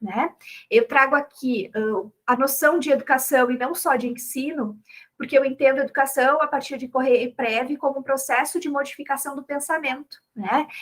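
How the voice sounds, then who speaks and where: With a strong southern Brazilian accent, a woman talks at a moderate pace in a high voice with ordinary pitch variation. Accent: strong gaúcho (southern Brazilian). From Brazil, Rio Grande do Sul. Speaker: chemistry education professor and researcher. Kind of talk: academic talk at a round table.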